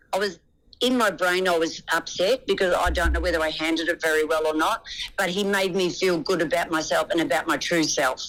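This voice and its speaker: A woman with an Australian accent speaks at a fairly low pitch and a fairly quick pace. Her loudness stays very even, with ordinary pitch variation. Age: 60s. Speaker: reality TV contestant. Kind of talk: interview answer.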